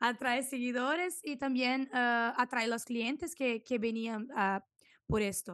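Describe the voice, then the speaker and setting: Against a quiet background, a woman speaks with a Brazilian accent. Her voice is high-pitched and her pace very slow. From southern Brazil, Santa Maria; southern Brazil. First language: Portuguese (speaking Spanish). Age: 20s. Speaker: food and product photographer; podcast guest. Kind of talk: interview. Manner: halting, searching for Spanish words. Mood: cheerful, animated. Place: home room. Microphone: studio mic.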